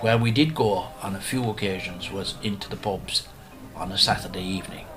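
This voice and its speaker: Music is playing behind a man. His pitch moves with ordinary variation. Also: fairly low pitch for a man, fairly quick pace. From Ireland. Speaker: storyteller. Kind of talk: radio interview recollection.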